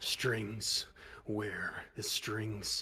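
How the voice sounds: Using a put-on character voice, a man speaks at a fairly low pitch against light background noise.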